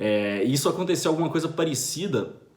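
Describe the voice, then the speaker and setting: The intonation is lively, and the room echo is audible. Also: man. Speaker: finance commentator. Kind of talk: video monologue commentary. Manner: fast.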